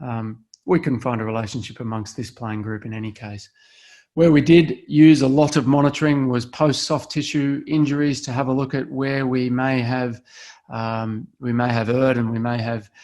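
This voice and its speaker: Here a man talks with an Australian accent. His intonation is fairly even. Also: medium pitch for a man, moderate pace. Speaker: sports performance scientist. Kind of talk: webinar presentation.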